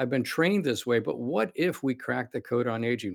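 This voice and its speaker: This man has an unremarkable speaking voice. His intonation is lively and his pace fairly quick. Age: 60s. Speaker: cardiologist and longevity clinic founder. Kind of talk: interview conversation.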